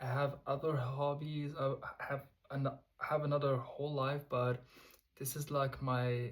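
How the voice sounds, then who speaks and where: Speaking at a fairly slow pace with a non-native accent, a man's somewhat breathy voice sits at a fairly high pitch with monotone, flat intonation. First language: not English. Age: 20s. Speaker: vlogger. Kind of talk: casual monologue to camera. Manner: halting.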